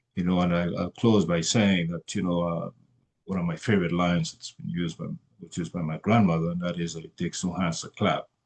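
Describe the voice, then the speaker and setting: In a very deep, low voice, a man talks at a fairly quick pace with monotone, flat intonation. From Trinidad and Tobago. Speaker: commission chair. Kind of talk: formal introduction at an onboarding meeting. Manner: halting, many fillers.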